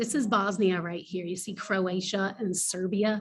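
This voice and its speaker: Her voice is somewhat breathy, at a medium pitch for a woman, and moves at a fairly slow pace. The intonation stays monotone and flat. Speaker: teacher. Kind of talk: lecture. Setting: hotel lobby.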